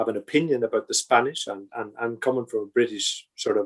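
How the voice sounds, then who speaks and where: Here a man talks with a Northern Irish accent at a fairly quick pace. His intonation is fairly even, and the background is quiet. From Northern Ireland. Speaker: project controls consultant and lecturer. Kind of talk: podcast interview. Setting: video call. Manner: halting, many repetitions and fillers.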